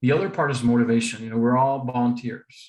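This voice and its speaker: A man with a Spanish accent speaks in a monotone, flat intonation. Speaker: district public image volunteer. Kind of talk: presentation.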